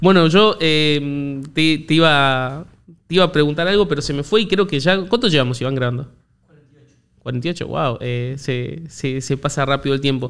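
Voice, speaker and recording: A man with a Rioplatense accent, fairly high pitch, ordinary pitch variation, big swings in loudness, and a fairly slow pace, on a very clean recording with a silent background. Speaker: podcast host. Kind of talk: casual interview chat. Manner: halting, repetitive.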